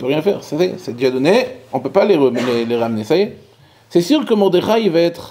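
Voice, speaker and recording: This man's voice sits high and swings very widely in pitch. Noticeable background noise runs underneath. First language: Hebrew (speaking French). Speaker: rabbi. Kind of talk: Torah lecture. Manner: halting; animated.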